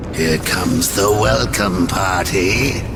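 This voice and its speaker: A man does a put-on character voice with a very deep, low pitch at a fairly slow pace, against loud background noise. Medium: machinima. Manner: mocking, domineering.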